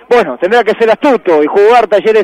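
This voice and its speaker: In a dry, close recording with no echo but noticeable background noise, a man talks in an excited tone. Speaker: football commentator. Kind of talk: live football commentary. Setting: match broadcast. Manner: excited, shouting; fast, building to a goal call.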